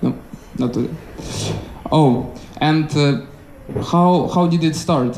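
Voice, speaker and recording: A man with a non-native accent and fairly high pitch at a very slow pace, long, frequent pauses, fairly even intonation and very even loudness, with noticeable background noise and audible room echo. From Ukraine. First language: not English. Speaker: stand-up comedian. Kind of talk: stand-up crowd work. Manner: halting, many fillers.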